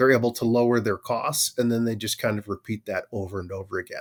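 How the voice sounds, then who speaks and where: On a very clean recording with a silent background, a man speaks at medium pitch with a slight Minnesotan accent. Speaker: manufacturing operations leader, army veteran. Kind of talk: podcast interview. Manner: many filler words, conversational.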